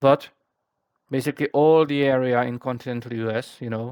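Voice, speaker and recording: A man with a non-native accent at a fairly slow pace, in a very clean recording with a silent background and a dry, close sound free of echo. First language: not English. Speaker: flight sim group flight organizer. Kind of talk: briefing explanation. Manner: halting, many fillers.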